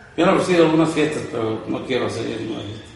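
Noticeable background noise and audible room echo surround a man whose voice has ordinary pitch variation. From Michoacán, Mexico. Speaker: gamecock breeder and event promoter. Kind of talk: interview.

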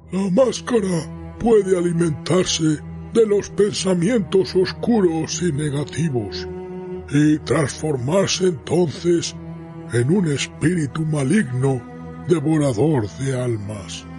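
Clear music plays in the background as the speaker goes at a fairly slow pace. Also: man, fairly high pitch for a man. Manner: solemn, warning.

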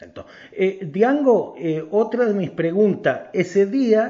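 Here a man speaks in a high voice. His pitch varies in an ordinary way. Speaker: newspaper journalist. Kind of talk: interview. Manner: formal.

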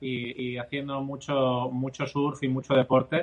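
This man has a plain, everyday voice at a fairly high pitch. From Spain (Barcelona, Catalonia), Andalusian parents. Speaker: endurance athlete and charity fundraiser. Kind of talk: interview.

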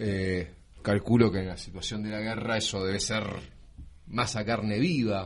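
In a room with audible echo, a man with a fairly low pitch speaks at a fairly slow pace with fairly even intonation. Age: 40s. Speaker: radio host. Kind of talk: interview. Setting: studio.

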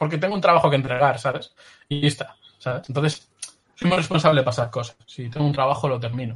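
Somewhat breathy, a man talks at a very fast pace. His pitch is fairly high, with ordinary variation. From Galicia, Spain (Pontevedra). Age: 30s. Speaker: illustrator. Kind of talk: interview.

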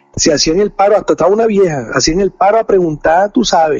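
A man with a Venezuelan accent speaks at a moderate pace with lively intonation, and there is noticeable background noise. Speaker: podcast co-host. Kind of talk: casual chat.

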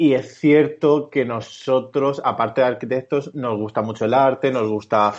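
A man talks in a normal speaking voice at a fairly slow pace. His intonation is fairly even. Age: 30s. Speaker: architect, studio co-founder. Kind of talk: interview.

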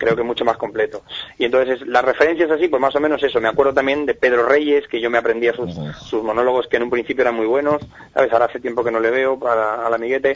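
A man talks at a very fast pace and a medium pitch. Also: fairly even intonation. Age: 40s. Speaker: comedian. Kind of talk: interview.

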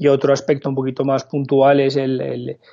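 A man's voice at medium pitch. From France. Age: 30s. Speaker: tech startup founder and CEO. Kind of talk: interview. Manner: halting.

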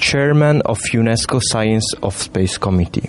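With noticeable background noise behind him, a man of medium pitch talks at a moderate pace with ordinary pitch variation. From Italy. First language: Italian. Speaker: student radio presenter. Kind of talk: casual chat. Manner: halting.

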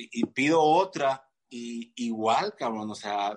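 With a Mexican accent, a man speaks at a medium pitch with ordinary pitch variation. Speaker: fitness coach and physique competitor. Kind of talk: casual chat. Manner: halting, many repeated words.

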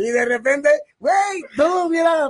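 This is a man with a Mexican accent. His pitch varies in an ordinary way. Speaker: podcast co-host. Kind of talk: casual chat. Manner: animated, laughing often.

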